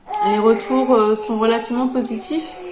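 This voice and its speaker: There is audible room echo and noticeable background noise as a woman speaks at a fairly slow pace. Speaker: knitting podcaster. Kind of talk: casual podcast monologue. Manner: halting, many hesitations.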